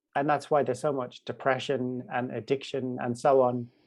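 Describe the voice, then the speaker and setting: A man with medium pitch and an unremarkable speaking voice, at a moderate pace. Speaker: spoken word poet and voice coach. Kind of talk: interview answer.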